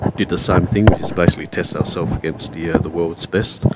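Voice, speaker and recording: The speaker has an Australian accent and fairly even intonation. Noticeable background noise runs underneath. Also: man. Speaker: pool commentator. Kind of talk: live commentary. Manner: loud.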